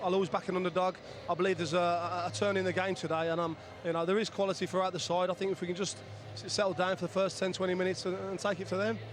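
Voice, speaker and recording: With a slight Birmingham accent, a man at a high pitch talks at a very fast pace using fairly even intonation. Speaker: former footballer, pundit. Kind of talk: pre-match studio discussion.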